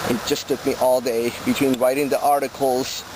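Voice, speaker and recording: A man with a fairly high pitch and a fairly quick pace, amid noticeable background noise. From Colombia. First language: Spanish. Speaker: touring cyclist and video blogger. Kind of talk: video diary update. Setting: outdoors while cycling. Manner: hesitant with many fillers.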